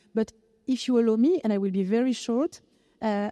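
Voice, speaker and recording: In a French accent, a woman speaks at a moderate pace with a fairly high pitch, a dark, mellow tone and ordinary pitch variation, in a dry, close sound with no echo. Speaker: philosopher. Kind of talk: panel discussion. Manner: halting.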